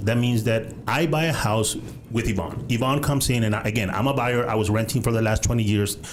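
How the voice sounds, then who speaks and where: Over noticeable background noise and audible room echo, a man talks at a fairly quick pace, his medium pitch showing ordinary variation. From Guatemala. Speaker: real estate podcast host, title business. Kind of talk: casual interview. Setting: studio.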